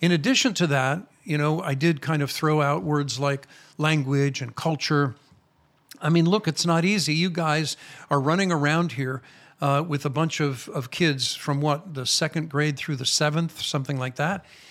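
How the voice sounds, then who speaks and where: A man with an American accent speaks at a moderate pace with ordinary pitch variation. His pitch is fairly high, and the recording is very clean with a silent background. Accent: American, retained. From Chicago, US. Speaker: rabbi, ministry founder. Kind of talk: interview conversation.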